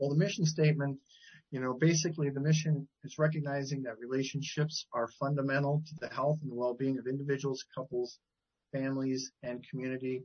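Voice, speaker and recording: A man speaks at a fairly quick pace with fairly high pitch. His voice is somewhat breathy and monotone, with flat intonation. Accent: American. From Wisconsin, Milwaukee area. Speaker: CEO of a professional association, family therapist. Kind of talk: interview.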